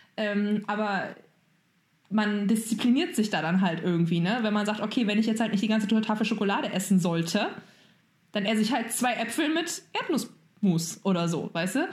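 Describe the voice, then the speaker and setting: A woman with a normal speaking voice talks at a moderate pace in a fairly high pitch, her intonation lively and her loudness very even. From Germany. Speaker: podcast co-host. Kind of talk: casual chat.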